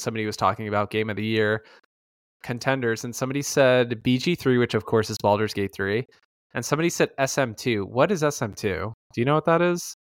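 The man's voice sits at a medium pitch and moves at a fairly quick pace. The sound is dry and close, with no echo. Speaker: podcast co-host. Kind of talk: casual chat. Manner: loud.

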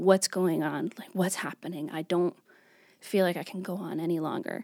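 A woman speaks in a plain, everyday voice with an American accent. Her pitch is fairly low and her intonation fairly even. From New York. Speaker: church youth worker. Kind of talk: faith testimony interview.

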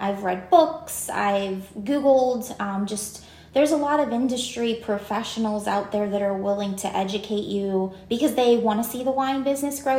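A woman speaks with a western Pennsylvania accent, ordinary pitch variation and a moderate pace. Noticeable background noise and audible room echo are present. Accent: western Pennsylvania American. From Greensburg, western Pennsylvania. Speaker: winery owner. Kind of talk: casual interview.

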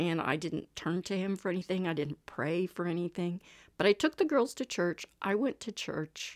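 A woman with an American accent and an ordinary speaking voice, captured in a dry, close sound with no echo. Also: fairly low pitch for a woman, ordinary pitch variation, moderate pace, very clean recording, silent background. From Texas. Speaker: engineer and single adoptive mother. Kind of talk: interview testimony.

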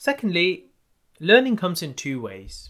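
A man speaks in a bright, sharp tone. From India. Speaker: doctor and podcast host. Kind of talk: podcast monologue.

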